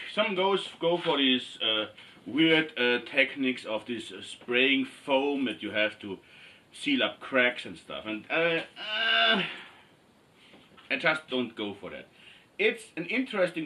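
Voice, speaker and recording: With an Austrian accent, a man speaks fairly slowly at a fairly high pitch, his lively intonation and big swings in loudness broken by long, frequent pauses, with noticeable background noise behind him. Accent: non-native English, Austrian German. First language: German. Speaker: cosplay maker. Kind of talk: tutorial. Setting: in front of a camera, workshop. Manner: halting, many fillers.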